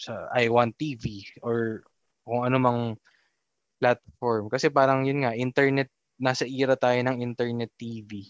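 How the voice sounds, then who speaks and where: Using an ordinary speaking voice, a man speaks at a fairly slow pace and medium pitch with fairly even intonation, the sound dry and close with no echo. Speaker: podcast host. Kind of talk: casual chat.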